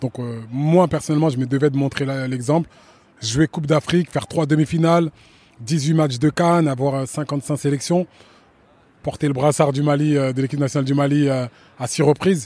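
With a fairly high pitch and fairly even intonation, a man talks at a moderate pace with long, frequent pauses, the sound dry and close with no echo. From France. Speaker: football coach and former player. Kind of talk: interview.

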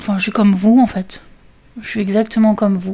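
Amid noticeable background noise, a woman talks at a moderate pace and medium pitch. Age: 30s. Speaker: podcaster. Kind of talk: solo monologue. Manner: halting.

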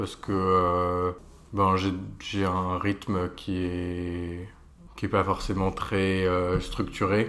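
A man with a very deep, low pitch. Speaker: interior architect. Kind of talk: interview. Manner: hesitant, many fillers.

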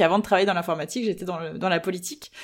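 Over noticeable background noise, a woman speaks at medium pitch with ordinary variation. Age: 30s. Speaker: political party spokesperson. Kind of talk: interview. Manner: hesitant with many fillers.

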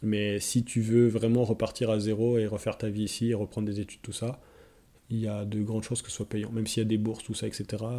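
A man speaks with a dark, mellow tone at medium pitch. His delivery is monotone and flat, at a fairly quick pace. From France, Lorraine (Nancy). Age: 30s. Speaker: forestry technician. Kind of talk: casual interview.

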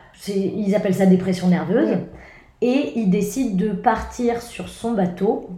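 A woman speaks very slowly at a medium pitch, with ordinary pitch variation and audible room echo. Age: 20s. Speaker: comedian. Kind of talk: casual chat.

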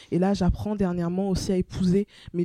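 At a moderate pace and medium pitch, a woman speaks in a dark, mellow tone, the sound dry and close with no echo on a very clean recording with a silent background. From France, Brittany (Rennes), born in Togo. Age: 20s. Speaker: law and philosophy student, children's rights activist. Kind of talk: interview. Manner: eloquent, confident.

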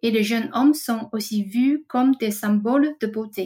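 A woman speaks at a very slow pace with ordinary pitch variation. Her voice is somewhat breathy with a dark, mellow tone. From Taiwan. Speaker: trend researcher. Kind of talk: scripted segment. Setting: recording at home.

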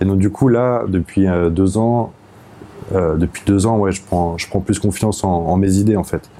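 A man speaks at a fairly slow pace in a fairly low voice. His intonation stays fairly even over noticeable background noise. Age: 30s. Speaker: jazz saxophonist. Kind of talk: casual interview. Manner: halting.

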